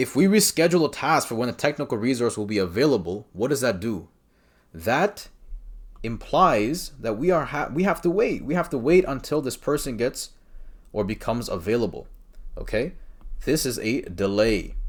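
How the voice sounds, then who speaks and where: A man with a non-native accent at medium pitch, moderate in pace with very wide pitch swings, over a quiet background. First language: not English. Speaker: exam prep coach. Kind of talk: tutorial. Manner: casual, conversational with fillers. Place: home room. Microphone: webcam.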